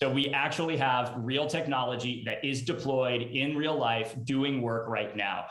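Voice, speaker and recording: A man with an unremarkable speaking voice at medium pitch, with fairly even intonation and a moderate pace. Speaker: startup CEO and co-founder. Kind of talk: live panel discussion. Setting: video call.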